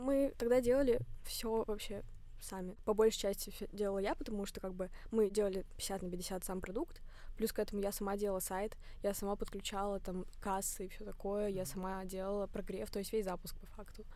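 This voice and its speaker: Using a dark, mellow tone, a woman speaks at a fairly quick pace and a medium pitch with ordinary pitch variation. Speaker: fitness blogger and student. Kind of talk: casual interview.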